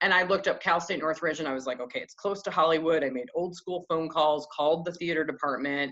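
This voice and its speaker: A woman with a fairly low voice and an American accent speaks at a fairly quick pace in an animated tone. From Michigan, US Midwest. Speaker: actor. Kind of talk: interview.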